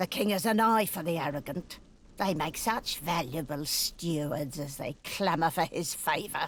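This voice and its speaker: A put-on character voice at a middle pitch. The pace is moderate. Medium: video game. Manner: bitter, cold and scheming.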